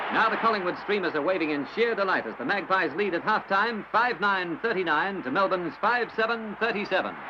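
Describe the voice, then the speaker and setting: Raising and projecting his high voice, a man talks at a fairly quick pace with hardly any pauses and ordinary pitch variation over noticeable background noise. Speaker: newsreel sports commentator. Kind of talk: newsreel sports commentary. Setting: old archival recording.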